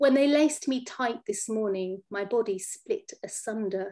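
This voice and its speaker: A woman talks at a fairly slow pace in a fairly high pitch with ordinary pitch variation. Her tone is dark and mellow, and the background is quiet. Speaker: poet. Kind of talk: poetry reading. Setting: video call. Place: home room. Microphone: webcam.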